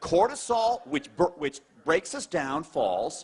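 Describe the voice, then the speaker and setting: A man speaks at a moderate pace in a high pitch, with very wide pitch swings. His tone is animated. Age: 50s. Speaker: cardiologist. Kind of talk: testimony.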